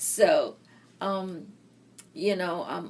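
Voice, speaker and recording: A woman with a Philippine accent. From Philippines, Mindanao. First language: Bisaya. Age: 60s. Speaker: interviewee, retired nurse. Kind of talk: oral history interview.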